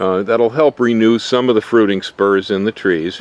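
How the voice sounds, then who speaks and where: This man has an unremarkable speaking voice, fairly low in pitch with ordinary pitch variation, recorded with a dry sound and no echo. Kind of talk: tutorial. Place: garden. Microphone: phone near.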